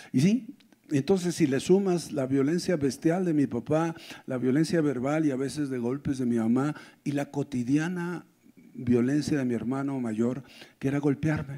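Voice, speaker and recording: The voice has a dark, mellow tone, ordinary pitch variation and a moderate pace. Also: man, fairly high pitch for a man. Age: 60s. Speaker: pastor. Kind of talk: sermon.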